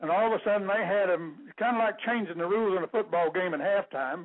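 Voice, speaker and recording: Talking at a fairly quick pace, a man uses a high voice with ordinary pitch variation. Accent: Texan. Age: 70s. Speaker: caller, retired rancher. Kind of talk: radio call-in talk.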